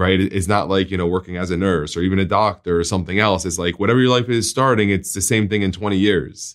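A man's very deep, low voice at a very fast pace with hardly any pauses and fairly even intonation, in a very clean recording with a silent background. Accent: New Jersey. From New Jersey. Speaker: podcast host, insurance agent. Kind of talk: interview.

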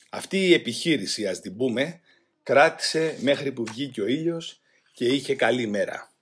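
With lively intonation, a man speaks in an unremarkable speaking voice. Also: fairly high pitch for a man, fairly slow pace. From Greece, Attica (Rafina). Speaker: former political prisoner. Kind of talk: testimony.

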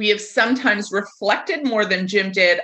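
A woman talks in an American accent with a fairly high pitch. Her tone is bright and sharp, with ordinary pitch variation. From United States. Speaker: podcast host. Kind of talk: casual interview chat.

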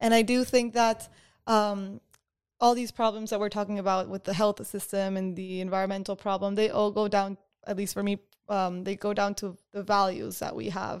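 In a very clean recording with a silent background, a woman of medium pitch speaks at a moderate pace in a monotone, flat way. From Peru, Lima. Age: 20s. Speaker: college student. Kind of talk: casual chat.

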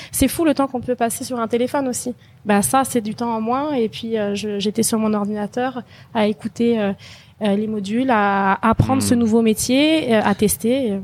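A woman speaks with a fairly high pitch and ordinary pitch variation. The recording is very clean, with a silent background. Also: moderate pace. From France. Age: 30s. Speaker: e-commerce entrepreneur, former bank employee. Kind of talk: testimony interview. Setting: recorded in Phuket. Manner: hesitant, many fillers.

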